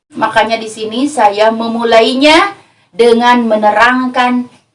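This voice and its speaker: A woman's fairly high voice moves at a fairly slow pace with ordinary pitch variation. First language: Sundanese (speaking Indonesian). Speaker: female Islamic preacher. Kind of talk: religious lecture.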